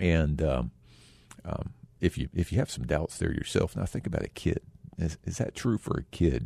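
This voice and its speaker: A man with an American accent speaks at a moderate pace in a very deep, low voice with a dark, mellow tone and vocal fry. His intonation is lively, and the sound is dry and close with no echo. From Texas. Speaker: community foundation leader. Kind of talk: radio interview.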